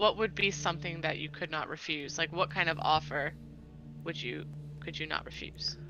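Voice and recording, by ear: A loud, shaky put-on character voice sits at a middle pitch and moves at a moderate pace. Clear background noise runs underneath.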